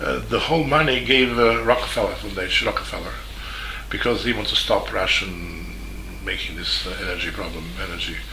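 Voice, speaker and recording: Audible room echo and noticeable background noise accompany fairly quick speech. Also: man. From Serbia, Belgrade. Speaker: journalist. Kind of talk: video statement. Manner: halting.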